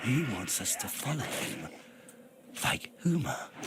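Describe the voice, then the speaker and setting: A man does a put-on character voice at a fairly high pitch. He speaks at a fairly slow pace over clear background noise. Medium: read story. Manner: stern, formal.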